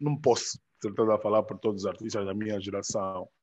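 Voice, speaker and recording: A man's medium-pitched, monotone voice with flat intonation against a quiet background. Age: 30s. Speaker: rapper and music producer. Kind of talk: casual interview.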